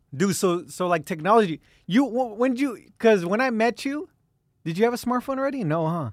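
Recorded very cleanly against a silent background, a man talks fairly quickly with lively intonation at a high pitch. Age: 20s. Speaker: podcast host. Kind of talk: casual chat.

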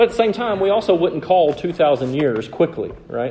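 Over noticeable background noise, a man with a Southern US accent makes very wide pitch swings. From US South. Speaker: preacher. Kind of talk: sermon.

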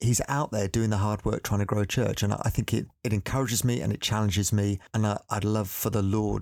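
A man's fairly low, ordinary speaking voice at a fairly quick pace with fairly even intonation, in a dry, close sound with no echo on a very clean recording with a silent background. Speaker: church planting director. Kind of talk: interview.

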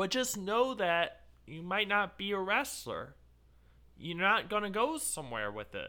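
A raised, projected voice with a bright, sharp tone and lively intonation comes at a fairly slow pace. Loudness swings widely in a very clean recording with a silent background. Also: man, high pitch for a man. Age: 30s. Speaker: amateur wrestler. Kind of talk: casual chat.

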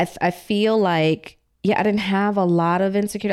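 The woman has a plain, everyday voice at medium pitch with fairly even intonation. She speaks at a moderate pace in a very clean recording with a silent background. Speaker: author and showrunner. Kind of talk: casual interview storytelling.

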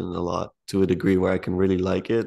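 A man speaks at a fairly low pitch in an unremarkable speaking voice. His pace is moderate and the background quiet. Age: 20s. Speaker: podcast host. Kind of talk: casual chat. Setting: video call.

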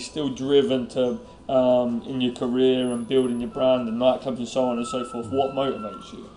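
Against noticeable background noise, a man speaks with a British accent. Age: 20s. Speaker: podcast host. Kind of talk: interview. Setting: hotel in London.

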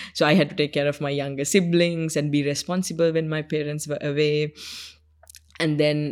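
With a Sri Lankan accent, a woman talks in a very deep, low voice. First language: Sinhalese. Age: 20s. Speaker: UN youth envoy. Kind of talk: interview. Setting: studio.

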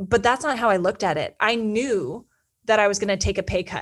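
Recorded very clean with a silent background, a woman with an American accent and fairly high pitch speaks at a moderate pace in an animated tone with ordinary pitch variation. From Northern California. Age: 30s. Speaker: podcast host, PR and marketing expert. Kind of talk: solo personal storytelling.

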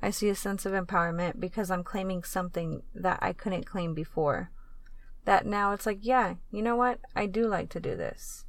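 In a normal speaking voice, a woman speaks at a moderate pace in a medium pitch with fairly even intonation. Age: 30s. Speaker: sex and relationships podcast host. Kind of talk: solo podcast monologue.

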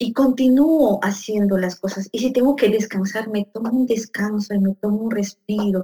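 Recorded with a dry, close sound and no echo, a woman speaks at a moderate pace with hardly any pauses, her fairly high voice somewhat breathy, dark and mellow in tone, with fairly even intonation. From Peru. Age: 40s. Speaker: psychologist and coach. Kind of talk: conversational interview.

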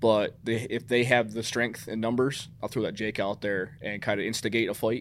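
Speaking at a moderate pace with hardly any pauses, a man keeps a monotone, flat intonation. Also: medium pitch for a man. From New York State. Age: 30s. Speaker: hunter recruitment coordinator. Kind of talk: casual interview.

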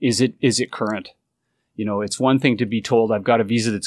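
The voice runs at a very fast pace in a monotone, flat intonation. The recording is very clean, with a silent background and a dry, close sound with no echo. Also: man. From Canada. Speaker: recruiting agency executive. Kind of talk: interview.

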